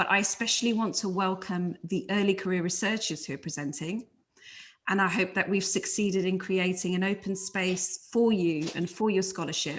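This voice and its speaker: A woman speaks with a London accent against a quiet background. Her pitch is medium, her intonation fairly even. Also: moderate pace. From London, England. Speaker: conference convener. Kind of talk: opening remarks.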